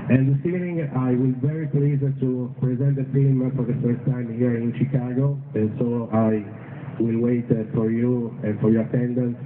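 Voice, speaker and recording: With an Italian accent, a man talks at a moderate pace and with fairly even intonation amid noticeable background noise and audible room echo. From Italy, Rome. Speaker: documentary filmmaker. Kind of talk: public speech.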